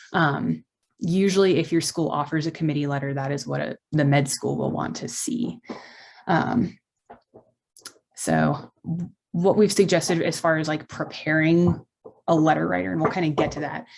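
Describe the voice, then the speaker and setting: A woman's very deep, low voice with vocal fry, lively intonation and long, frequent pauses. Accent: American. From Texas. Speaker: medical student presenter. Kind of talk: informational presentation. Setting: video call. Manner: fast.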